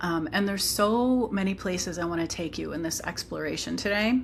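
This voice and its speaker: A woman at a moderate pace. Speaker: psychology author and teacher. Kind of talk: livestream talk.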